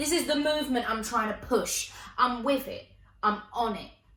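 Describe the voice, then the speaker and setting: A woman speaks at a fairly slow pace in an animated tone. There is noticeable background noise and audible room echo. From Essex, England. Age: 20s. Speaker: comedian and performer. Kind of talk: stand-up.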